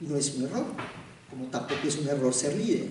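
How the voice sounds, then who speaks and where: Speaking with a Colombian accent, a man is heard through noticeable background noise and audible room echo. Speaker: theatre director and actor. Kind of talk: public talk. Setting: university hall with audience.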